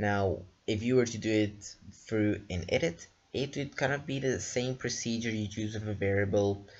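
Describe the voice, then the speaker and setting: His pitch is fairly low. There is a somewhat breathy quality to the man's voice. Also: ordinary pitch variation, moderate pace. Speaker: programming tutor. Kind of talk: tutorial. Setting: screen recording.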